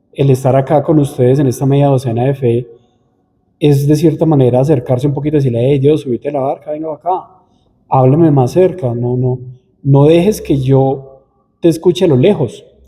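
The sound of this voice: A man speaks in a dark, mellow tone with a slightly husky edge. His pitch varies in an ordinary way. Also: medium pitch for a man, moderate pace.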